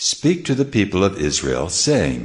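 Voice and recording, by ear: Using a put-on character voice, a man speaks low with very wide pitch swings at a fairly slow pace.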